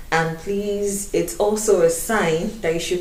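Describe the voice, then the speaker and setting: Delivered at a fairly slow pace with ordinary pitch variation in a Nigerian accent, the voice carries audible room echo and noticeable background noise. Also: woman. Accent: Nigerian accent retained. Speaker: YouTuber. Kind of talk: casual chat. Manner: animated.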